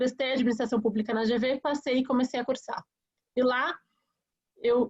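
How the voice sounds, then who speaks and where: A woman's monotone, flat delivery. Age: 30s. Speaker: politician, mayoral candidate. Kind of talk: campaign presentation in a webinar. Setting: online webinar.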